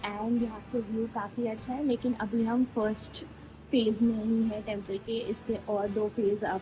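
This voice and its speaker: A woman speaks quietly at a fairly slow pace in a fairly high, monotone voice with flat intonation, amid noticeable background noise. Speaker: travel vlogger. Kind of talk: travel vlog. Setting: outdoors at a hilltop temple. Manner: speaking quietly.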